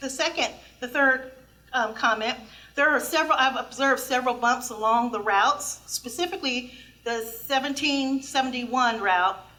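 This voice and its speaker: Raising and projecting her voice, a woman with a high pitch talks at a moderate pace in a bright, sharp tone with ordinary pitch variation. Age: 60s. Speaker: public commenter at transit board meeting. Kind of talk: public comment at a meeting.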